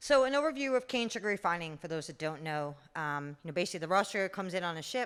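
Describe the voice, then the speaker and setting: A woman with a New York accent and medium pitch, on a very clean recording with a silent background. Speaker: refinery general manager. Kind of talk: conference talk.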